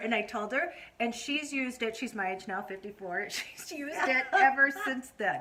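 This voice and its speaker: A woman speaks at a moderate pace in a high voice with very wide pitch swings, and noticeable background noise can be heard. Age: 50s. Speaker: vlogger and host interviewing her mother. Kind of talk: casual talk to camera.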